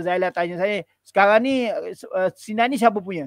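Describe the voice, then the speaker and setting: A man at a moderate pace with ordinary pitch variation, dry sound with no echo, and a quiet background. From Malaysia. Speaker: lecturer and charity volunteer; lecturer. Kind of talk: travel storytelling in interview. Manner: hesitant, with many fillers. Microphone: headset.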